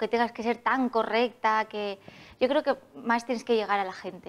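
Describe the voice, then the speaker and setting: A woman with a fairly high pitch speaks at a fairly slow pace, her intonation fairly even. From Alicante, Spain; Spain. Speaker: festival queen; interview guest. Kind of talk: TV interview. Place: studio. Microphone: lapel.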